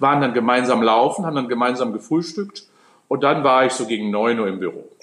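A man talks at a medium pitch. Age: 60s. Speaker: sports scientist. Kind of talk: interview. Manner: animated.

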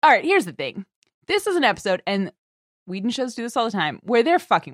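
A woman speaks very fast at a fairly high pitch, with vocal fry, very wide pitch swings and big swings in loudness. The recording is very clean, with a silent background and a dry, close sound with no echo. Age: 30s. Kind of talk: casual chat.

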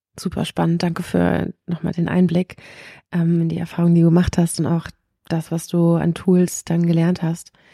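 A dark, mellow, somewhat breathy voice speaks at a moderate pace in a monotone, flat way. The sound is dry and close, with no echo. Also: woman, fairly low pitch for a woman. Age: 30s. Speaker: podcast host. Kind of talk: interview conversation.

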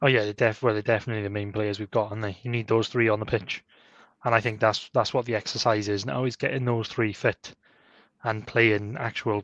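A man talks at a fairly quick pace in a fairly low voice. His tone is fairly bright, with little pitch movement.

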